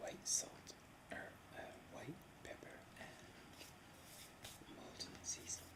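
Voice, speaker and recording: Whispering from a woman, very slow, with long pauses at frequent intervals. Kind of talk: casual talk to camera, eating lunch ASMR. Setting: home, recorded while eating. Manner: whispered, soft-spoken.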